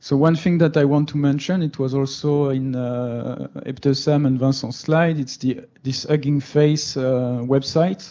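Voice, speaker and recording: A man with a French accent speaks at a fairly slow pace with hardly any pauses. His voice has a fairly high pitch, a dark, mellow tone and fairly even intonation. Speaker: meetup speaker on machine learning. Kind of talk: technical talk. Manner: hesitant, many fillers.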